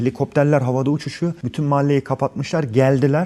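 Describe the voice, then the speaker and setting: A man speaks with a fairly high pitch and a dark, mellow tone. The recording is very clean, with a silent background. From Germany. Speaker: actor. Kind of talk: interview. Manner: animated.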